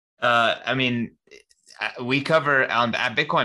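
This man has a bright, sharp tone and medium pitch, speaking at a moderate pace. The recording is very clean with a silent background. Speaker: magazine and conference staffer. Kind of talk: casual interview chat.

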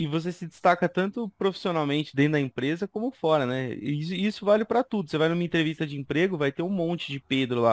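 A man talks at a very fast pace with lively intonation and a fairly high pitch, the sound dry and close with no echo. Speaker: instructional designer. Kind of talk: casual chat.

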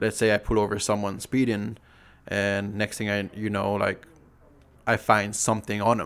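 A man speaks in a fairly low, monotone voice with flat intonation at a moderate pace. The recording is very clean, and the background is silent. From Saipan, Northern Mariana Islands. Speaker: police officer and motorcycle vlogger. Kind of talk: casual chat.

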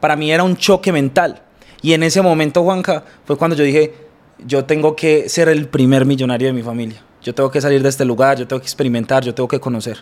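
Speech runs at a very fast pace with ordinary pitch variation. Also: man, fairly high pitch for a man. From Colombia, Bello near Medellín. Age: 20s. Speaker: businessman. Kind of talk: interview.

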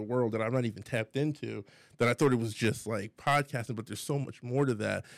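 An ordinary speaking voice moves at a fairly quick pace with fairly even intonation, in a very clean recording with a silent background. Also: man. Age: 30s. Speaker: community podcast co-host. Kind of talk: casual chat.

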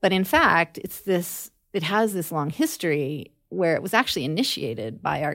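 In a very clean recording with a silent background, a woman speaks at a fairly low pitch with lively intonation and vocal fry. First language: English (Spanish learned as second language). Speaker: anthropology professor. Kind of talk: interview. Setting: on campus.

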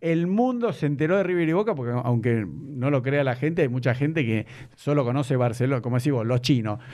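A man speaks at a fairly quick pace, his pitch medium and its variation ordinary. His loudness stays very even throughout, in a normal speaking voice. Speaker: podcast host. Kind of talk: casual interview.

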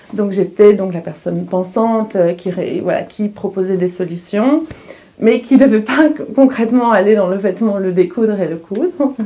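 A woman with a medium pitch and ordinary pitch variation talks at a moderate pace amid noticeable background noise. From Belgium, Hainaut (Wallonia). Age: 30s. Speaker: fashion designer. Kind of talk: interview.

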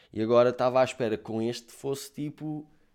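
This man's voice sits at a medium pitch. He speaks at a moderate pace. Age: 20s. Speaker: podcaster. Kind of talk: casual monologue.

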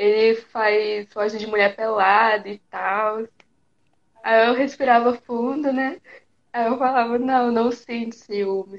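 Delivery is very slow. The intonation holds fairly even. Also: woman, fairly high pitch for a woman. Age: 20s. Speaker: guest, makeup artist and photographer. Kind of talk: casual live chat. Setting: live video stream. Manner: shy.

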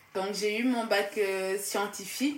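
Against audible room echo, a woman speaks very slowly in a medium pitch with fairly even intonation. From Casamance, southern Senegal. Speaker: student. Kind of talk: casual interview.

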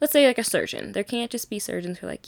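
A woman with an American accent is heard on a very clean recording against a silent background. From Minnesota, US Midwest. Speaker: podcast host. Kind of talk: solo monologue. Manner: casual.

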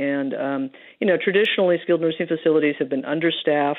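A woman talks at a fairly quick pace. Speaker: infectious disease doctor. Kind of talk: radio interview.

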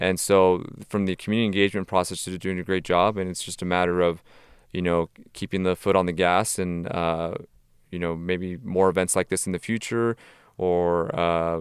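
On a very clean recording with a silent background and a dry, close sound with no echo, a man with an American accent speaks at a fairly quick pace in a very deep, low, monotone, flat voice. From Tijuana, Mexico and Southern California. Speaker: sports business consultant. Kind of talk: podcast interview.

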